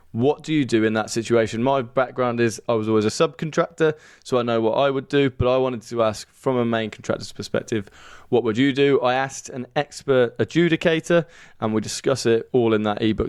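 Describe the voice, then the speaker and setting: A man with a Birmingham accent talks at a fairly quick pace, medium in pitch, with fairly even intonation. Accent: Brummie. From England, Birmingham. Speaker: podcast host. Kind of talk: interview podcast. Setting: studio.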